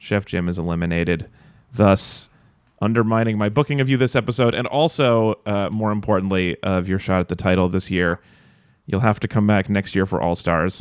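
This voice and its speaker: With an American accent, a man speaks in a plain, everyday voice at a fairly low pitch and moderate pace, with ordinary pitch variation. The recording is very clean, with a silent background. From Nevada. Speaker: podcast host. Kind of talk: casual chat.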